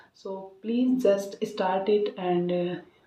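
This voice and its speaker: A woman speaks at a very slow pace. Her intonation is fairly even. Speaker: English learner vlogger. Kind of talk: casual monologue, speaking practice. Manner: halting, many filler sounds.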